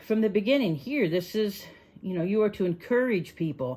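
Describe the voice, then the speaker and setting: A woman of medium pitch talks at a fairly quick pace, her dark, mellow tone marked by very wide pitch swings. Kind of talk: casual religious monologue. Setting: home. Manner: fast; halting, with many fillers and repeats.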